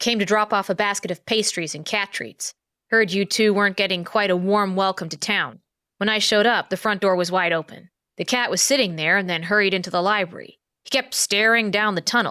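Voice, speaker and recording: Doing a put-on character voice, a woman sounds gruff at a medium pitch and a fairly quick pace in a very clean recording with a silent background. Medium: read story. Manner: blunt, terse.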